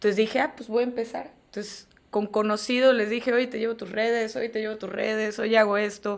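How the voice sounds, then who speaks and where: Barely pausing, a woman talks at a fairly quick pace in a fairly high pitch, her intonation monotone and flat while her loudness swings widely. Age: 30s. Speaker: agency CEO and graphic designer. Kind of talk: casual interview. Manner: halting.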